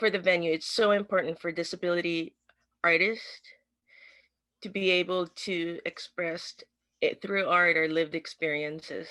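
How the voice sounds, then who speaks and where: At a moderate pace, a woman with an American accent talks in a fairly low pitch and a bright, sharp tone, her intonation monotone and flat, with long, frequent pauses. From United States. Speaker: artist. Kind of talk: speech at online event. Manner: halting.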